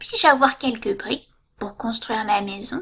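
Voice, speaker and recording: Put-on character voice from a woman, fairly high-pitched, at a moderate pace. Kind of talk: bedtime story. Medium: read story. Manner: polite, small.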